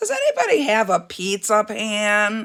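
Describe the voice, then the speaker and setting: A raspy, put-on character voice from a woman, fairly high in pitch, at a moderate pace. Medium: read story. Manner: polite, determined.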